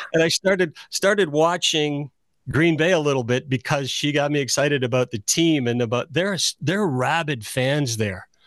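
With a plain, everyday voice, a man speaks at a moderate pace and a fairly high pitch with ordinary pitch variation and very even loudness, in a dry, close sound with no echo against a quiet background. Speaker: radio host. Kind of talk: casual chat.

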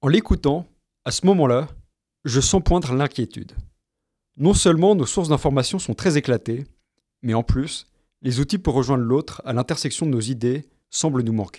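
In a very clean recording with a silent background, a man speaks at a moderate pace in a fairly high voice with a dark, mellow tone, leaving long, frequent pauses. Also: lively intonation, dry, close sound with no echo. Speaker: podcast host, graduate student. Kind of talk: scripted narration.

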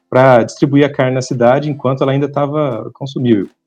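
With a dark, mellow tone, a man talks at a fairly quick pace and medium pitch. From Brazil, São Paulo state (Ribeirão Preto). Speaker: international organization economist, alumnus. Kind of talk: interview. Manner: hesitant, repeats words.

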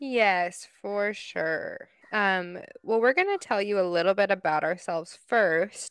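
In a plain, everyday voice, a woman speaks at a fairly slow pace and medium pitch with ordinary pitch variation, on a very clean recording with a silent background. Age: 30s. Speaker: podcast co-host, psychology graduate. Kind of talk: casual chat.

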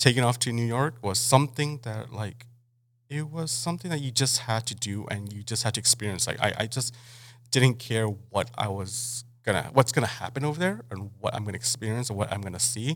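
This man's voice sits at a medium pitch and sounds somewhat breathy, with ordinary pitch variation. He talks at a fairly quick pace on a very clean recording with a silent background. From Mexico (Mexicali). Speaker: chef and restaurant owner. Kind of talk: casual interview.

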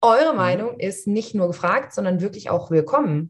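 Her somewhat breathy voice moves through very wide pitch swings. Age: 30s. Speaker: coach and podcast co-host. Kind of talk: casual chat.

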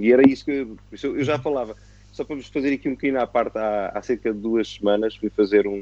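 The words tumble out very rapidly. Pitch moves up and down in a normal manner. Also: man, medium pitch for a man. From Portugal (born in Angola, moved 1974). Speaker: retired racing driver. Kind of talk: casual interview chat.

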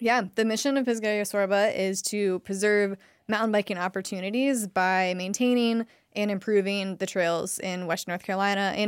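A woman with a normal speaking voice and an American accent talks at a moderate pace, medium in pitch, with fairly even intonation, in a very clean recording with a silent background. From Ohio. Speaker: nonprofit executive director, former educator. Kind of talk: podcast interview. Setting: studio.

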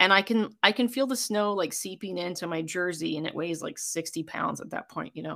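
A woman with an American accent talks at a moderate pace. Her voice is fairly low in pitch, with a bright, sharp tone. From rural US, small town. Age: 40s. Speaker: amateur rugby player and coach. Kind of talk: casual interview. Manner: animated, laughing often.

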